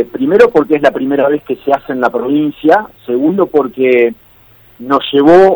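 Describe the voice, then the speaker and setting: A man with an Argentine accent speaks at a moderate pace and fairly high pitch. The sound is dry and close with no echo, and his pitch varies in an ordinary way. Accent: Rioplatense Argentine Spanish. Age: 50s. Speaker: former open-water swimmer and sports journalist. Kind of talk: radio interview.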